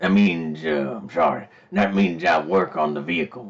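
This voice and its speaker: This is a man using a put-on character voice. His pitch is very deep and low. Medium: actual play. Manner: folksy, polite, drawling.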